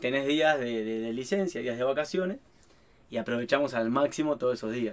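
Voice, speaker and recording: This man speaks with an Argentine accent at a fairly quick pace. His pitch sits in the medium range with ordinary variation. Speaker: traveling family vlogger. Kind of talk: casual interview chat.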